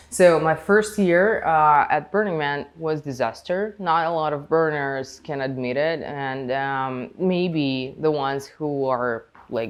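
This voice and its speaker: Speaking with a Russian accent at a very slow pace, the voice has hardly any pauses and ordinary pitch variation. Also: woman, very deep, low pitch for a woman. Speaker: podcast guest, festival community member. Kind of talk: casual interview chat. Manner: halting, many fillers.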